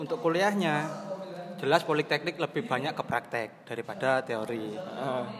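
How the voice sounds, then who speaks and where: Fairly high male voice at a moderate pace, lively intonation, noticeable background noise. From Banyuwangi, East Java, Indonesia. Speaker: university student. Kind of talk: casual chat.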